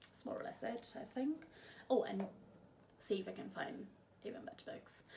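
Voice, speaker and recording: The speech comes at a moderate pace, and room echo can be heard around it. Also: woman. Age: 20s. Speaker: book vlogger. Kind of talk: casual vlog chat.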